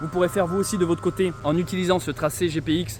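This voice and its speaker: Pitched high, a man's voice moves along at a fairly quick pace. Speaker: travel vlogger. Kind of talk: vlog narration.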